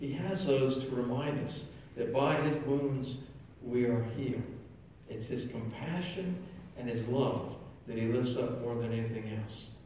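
With long, frequent pauses, a man speaks amid strong room echo and light background noise. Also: ordinary pitch variation. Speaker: priest or pastor. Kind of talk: sermon. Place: church. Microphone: camera far.

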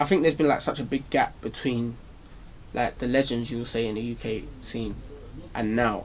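A man with a South London accent speaks at a moderate pace and a medium pitch, with long, frequent pauses and light background noise. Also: ordinary pitch variation. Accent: South London, multicultural London English. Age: young. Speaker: rapper; interviewee. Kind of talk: casual interview; interview answer. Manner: hesitant, many fillers. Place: studio.

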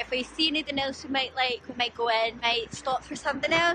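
A woman speaks at a fairly quick pace with a high pitch and a bright, sharp tone over faint background noise.

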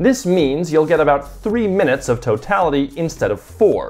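A man speaks at an even, moderate speed while music plays faintly behind him. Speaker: video creator. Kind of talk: casual explainer vlog. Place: home room. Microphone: lapel.

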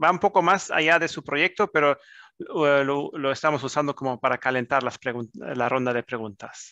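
A man speaks at a fairly high pitch in a German accent, his tone bright and sharp, the sound dry with no echo over a quiet background. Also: ordinary pitch variation, moderate pace. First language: German (speaking Spanish). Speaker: business chamber manager hosting webinar. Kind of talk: webinar moderation. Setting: video call. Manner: halting, many fillers. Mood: friendly, relaxed. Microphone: headset.

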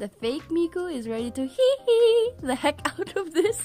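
A woman talks at a fairly slow pace over music in the background. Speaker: figure collector reviewer. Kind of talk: product review narration.

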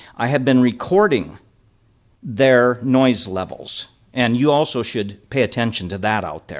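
A man speaks in a plain, everyday voice at medium pitch. His pace is moderate. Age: 60s. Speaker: resident giving public testimony. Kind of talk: public hearing testimony.

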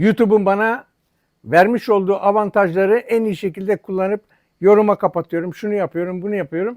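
A man's high-pitched voice with big swings in loudness, in a dry, close sound with no echo. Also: very clean recording, silent background. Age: 70s. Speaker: YouTuber. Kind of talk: angry monologue. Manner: animated; halting.

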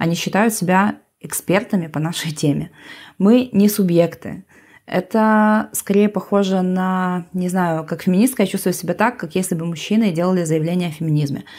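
A woman with an ordinary speaking voice, a moderate pace and ordinary pitch variation, on a very clean recording with a silent background. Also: medium pitch for a woman. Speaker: anarchist activist. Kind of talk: panel discussion, re-voiced.

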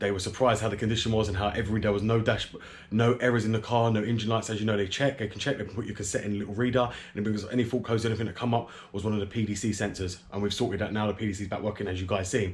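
Somewhat breathy and flat in monotone, a man with a fairly low pitch speaks at a very fast pace. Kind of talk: casual vlog chat. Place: garage. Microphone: phone near.

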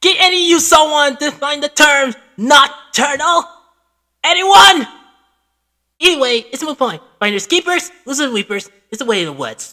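Someone uses a put-on character voice pitched high. The pace is moderate, broken by long, frequent pauses.

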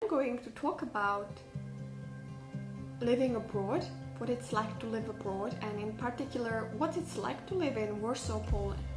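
A woman with a non-native accent speaks at a moderate pace, leaving long, frequent pauses. Clear music plays in the background. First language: not English. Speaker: vlogger. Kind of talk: casual talk to camera. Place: home room. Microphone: phone near.

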